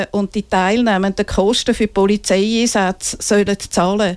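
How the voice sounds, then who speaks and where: An ordinary speaking voice moves at a fairly slow pace, its intonation fairly even. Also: woman. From Switzerland, Winterthur. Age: 60s. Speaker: feminist activist. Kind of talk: interview. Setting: studio. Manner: reads prepared statements.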